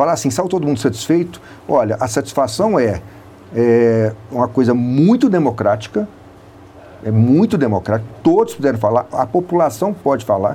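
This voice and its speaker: Speaking at a moderate pace, a man with a medium-pitched voice makes very wide pitch swings. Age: 60s. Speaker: city public works official. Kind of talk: radio interview.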